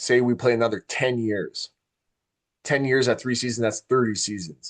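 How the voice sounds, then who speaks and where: A man speaks in a normal speaking voice at a moderate pace with fairly even intonation. The sound is dry and close, with no echo. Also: medium pitch for a man. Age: 40s. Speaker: podcast host. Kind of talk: casual chat.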